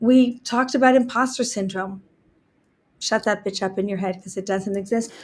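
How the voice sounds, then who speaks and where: Her voice is fairly high, somewhat breathy and animated, with big swings in loudness at a moderate pace. The woman is captured in a very clean recording with a silent background. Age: 60s. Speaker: entrepreneur and gender equality activist. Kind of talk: interview storytelling.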